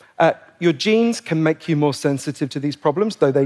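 A man with a plain, everyday voice speaks at a fairly quick pace, fairly high in pitch with ordinary pitch variation. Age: 40s. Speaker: public speaker, author on depression. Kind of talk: staged talk.

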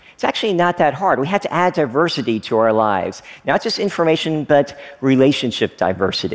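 Talking at a fairly quick pace, a man with an American accent uses a fairly high pitch with very wide pitch swings. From Kentucky, US South. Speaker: technology entrepreneur. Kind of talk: talk to an audience.

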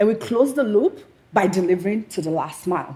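A woman at a moderate pace, with big pitch swings, a slightly mellow tone, and a slightly husky edge

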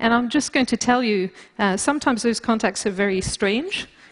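In a British accent, a woman speaks at a moderate pace with a fairly high pitch and ordinary pitch variation. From Britain, also raised in France. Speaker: bioengineering scientist. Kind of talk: lecture. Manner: halting, many fillers.

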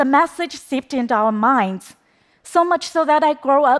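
With lively intonation and a high pitch, a woman is heard on a very clean recording with a silent background. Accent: Chinese. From China. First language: Chinese. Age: 30s. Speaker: documentary filmmaker. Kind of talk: public talk.

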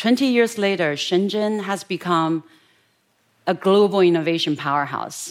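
A woman with a Chinese accent speaks at a medium pitch. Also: ordinary pitch variation, moderate pace. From West China, rural. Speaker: entrepreneur and technologist. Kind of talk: talk.

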